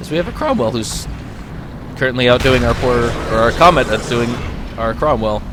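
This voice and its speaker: A man talks at a fairly quick pace with long, frequent pauses. Noticeable background noise runs underneath. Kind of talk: gameplay commentary. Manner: casual.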